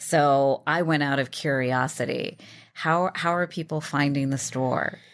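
In a very clean recording with a silent background, a woman with a very deep, low voice speaks at a fairly slow pace. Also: fairly even intonation. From rural area. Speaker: podcast co-interviewer. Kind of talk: interview.

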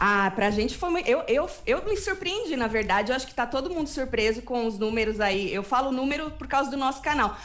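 A woman with a high pitch and very wide pitch swings talks at a fairly quick pace with hardly any pauses, on a very clean recording with a silent background. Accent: São Paulo interior. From São Paulo state, Brazil (interior). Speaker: web TV presenter. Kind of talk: casual chat.

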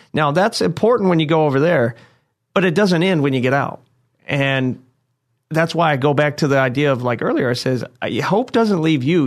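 A man's fairly high-pitched voice with a Midwestern American accent, at a moderate pace with lively intonation, against a quiet background. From Indiana. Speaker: Marine veteran, mental health worker. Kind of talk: interview.

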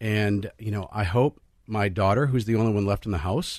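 There is an ordinary speaking voice from a man with a fairly low pitch. He keeps a moderate pace over a quiet background. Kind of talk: radio panel discussion.

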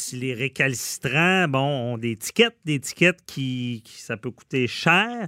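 A man speaking at a very slow pace. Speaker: radio host, lawyer. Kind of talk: casual interview. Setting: studio.

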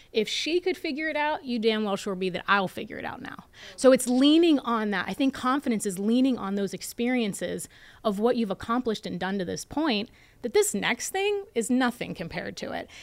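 Her voice is an unremarkable speaking voice with a fairly high pitch. This woman talks at a fairly quick pace with lively intonation. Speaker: entrepreneur and investor. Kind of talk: interview.

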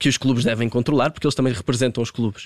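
A man's medium-pitched voice with fairly even intonation, dry and close with no echo, on a very clean recording over a silent background. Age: 20s. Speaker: football coach and commentator. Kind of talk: interview.

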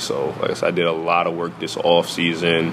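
Someone with an American accent speaks at a moderate pace. Noticeable background noise can be heard. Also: man. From New York, Newburgh. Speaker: college basketball player. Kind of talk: interview answers.

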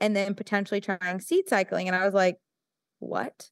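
Dry and close with no echo, the very clean recording with a silent background captures a woman at a medium pitch. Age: 20s. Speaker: company founder and dietitian. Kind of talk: casual interview. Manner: animated.

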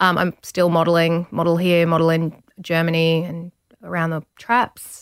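Speaking at a moderate pace, a woman with an Australian accent and a fairly low pitch keeps a monotone, flat intonation, in a dry, close recording without echo. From Australia, rural Victoria. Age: 30s. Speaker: model and TV presenter. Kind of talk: interview.

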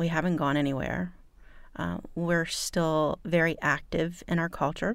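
A woman with vocal fry and a fairly low pitch, at a moderate pace with ordinary pitch variation, in a very clean recording with a silent background. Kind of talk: casual interview chat.

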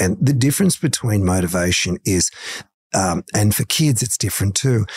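A man with a fairly low pitch speaks at a fairly quick pace with lively intonation in an Australian accent. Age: 60s. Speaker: motivational coach. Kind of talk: interview. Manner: animated.

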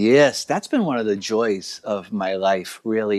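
An ordinary speaking voice from a man, fairly low in pitch, at a fairly slow pace with an American accent. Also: dry, close sound with no echo. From Boston, Massachusetts. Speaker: Franciscan priest. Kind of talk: radio interview.

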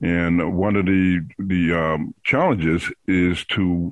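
The speaker is male. His voice sits very deep and low. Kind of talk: casual interview.

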